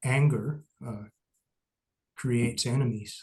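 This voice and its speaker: A somewhat breathy man with a Midwestern accent, medium pitch, fairly even intonation and a fairly slow pace. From US Midwest. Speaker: Buddhist teacher. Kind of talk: lecture.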